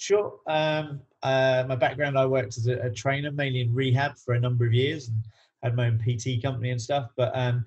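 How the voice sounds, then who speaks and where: A man's somewhat breathy voice at medium pitch, with fairly even intonation and a fairly quick pace. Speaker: coach and researcher. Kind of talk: podcast interview. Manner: halting, many fillers.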